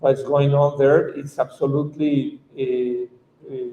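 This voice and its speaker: At a fairly slow pace, a man with a Mexican accent speaks at a fairly high pitch. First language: Spanish. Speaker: activist lawyer. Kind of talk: conference talk. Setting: conference panel. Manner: halting.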